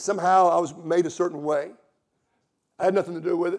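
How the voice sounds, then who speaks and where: In a Southern US accent, a man talks at a very fast pace with a high pitch. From US South. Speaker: visiting preacher and Bible teacher. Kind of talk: sermon. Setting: church stage with congregation.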